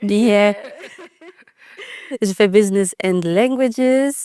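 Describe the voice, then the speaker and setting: A woman with a slight Dutch accent speaks very slowly at a medium pitch, with ordinary pitch variation. The sound is dry and close, with no echo. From Netherlands. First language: Dutch (speaking French). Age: 20s. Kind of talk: podcast interview. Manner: hesitant, many fillers.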